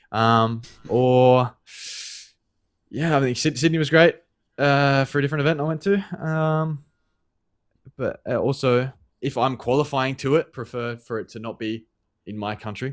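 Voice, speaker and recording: With an Australian accent, a man speaks at a moderate pace and medium pitch, using ordinary pitch variation and long, frequent pauses on a very clean recording with a silent background. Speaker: esports pro player. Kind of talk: interview. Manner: halting, many fillers and repeats.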